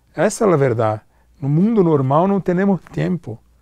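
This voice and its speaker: Fairly high-pitched male voice with lively intonation, dry with no echo, over a quiet background. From Brazil, São Paulo (born Rio de Janeiro). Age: 40s. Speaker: film producer; guest. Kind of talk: interview. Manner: halting, mixing Portuguese and Spanish. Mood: relaxed, reflective. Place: hall.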